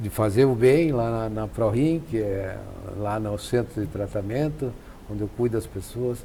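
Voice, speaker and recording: A man speaks at a fairly slow pace. His fairly low voice sounds somewhat breathy. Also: ordinary pitch variation. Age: 70s. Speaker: nephrologist. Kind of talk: TV health interview. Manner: halting.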